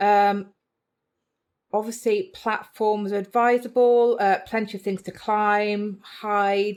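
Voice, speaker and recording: In a very clean recording with a silent background, a woman with a British accent speaks at a medium pitch. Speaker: reptile keeper and video creator. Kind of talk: tutorial.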